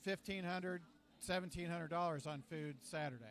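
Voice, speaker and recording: Pitched high for a man, his voice shows ordinary pitch variation. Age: 60s. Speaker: alumni booster club leader. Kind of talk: interview. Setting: restaurant. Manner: halting.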